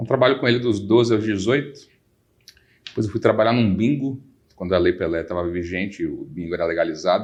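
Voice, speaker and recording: This man talks at a fairly quick pace in a fairly low pitch with ordinary pitch variation. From Brazil, Salvador. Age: 40s. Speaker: lawyer. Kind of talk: podcast interview.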